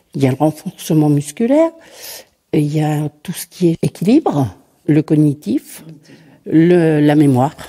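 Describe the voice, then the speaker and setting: A woman's very deep, low voice with a dark, mellow tone, a fairly slow pace, long, frequent pauses and a dry, close sound with no echo. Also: ordinary pitch variation. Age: 60s. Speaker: adapted sport participant. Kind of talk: testimony.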